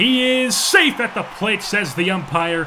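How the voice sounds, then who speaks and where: Over noticeable background noise, a man talks in an energetic, enthusiastic tone with lively intonation. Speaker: sports gaming commentator. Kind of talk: sports play-by-play broadcast.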